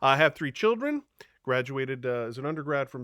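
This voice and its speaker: Speaking at a fairly quick pace, a man with a Long Island accent has a medium pitch and a bright, sharp tone. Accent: Long Island New York. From Long Island, New York. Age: 50s. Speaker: high school teacher. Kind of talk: recorded presentation to parents. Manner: casual, with frequent fillers.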